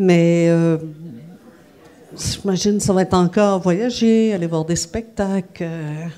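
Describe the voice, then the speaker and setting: Over noticeable background noise, a woman speaks at a medium pitch with fairly even intonation. Her pace is very slow, with long, frequent pauses. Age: 50s. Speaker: music journalist. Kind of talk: interview. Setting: café venue.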